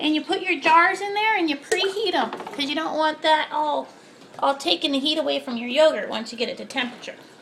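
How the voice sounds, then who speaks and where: A cartoonish character voice rattles along at a very fast pace and a high pitch, with clear background noise. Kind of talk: cooking tutorial. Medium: puppet. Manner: chatty, casual.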